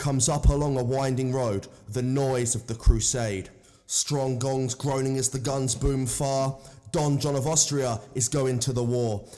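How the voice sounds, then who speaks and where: Monotone, flat intonation at a fairly slow pace, with noticeable background noise. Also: man, medium pitch for a man. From southern England. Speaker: poetry reader. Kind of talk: reading aloud.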